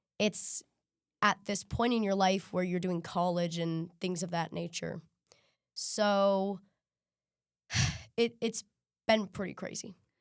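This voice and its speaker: On a very clean recording with a silent background, a woman with an American accent speaks very slowly at a medium pitch, with fairly even intonation and long, frequent pauses. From US Midwest (Missouri). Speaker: singer and songwriter. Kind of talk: interview.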